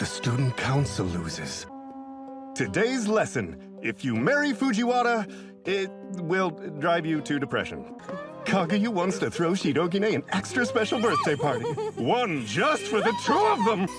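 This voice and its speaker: Music can be heard in the background. The speaking pace is fairly slow. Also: man. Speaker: voice actor, anime dub narrator. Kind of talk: anime dub narration, dramatic announcer. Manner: dramatic, playful, mock-serious.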